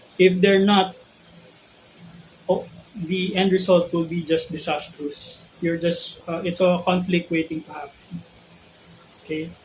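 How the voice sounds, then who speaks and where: A high-pitched man with a Filipino accent speaks at a fairly slow pace, his intonation monotone and flat. He leaves long, frequent pauses, and noticeable background noise is present. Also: big swings in loudness. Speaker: spiritual teacher. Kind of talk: spiritual talk. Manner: hesitant, many fillers.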